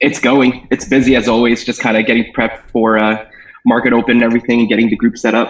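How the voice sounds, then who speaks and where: Using an American accent, a man speaks at a very fast pace with very even loudness. His medium pitch holds a monotone, flat intonation. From New York State. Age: 30s. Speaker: options trading group founder. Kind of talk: interview. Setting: video call.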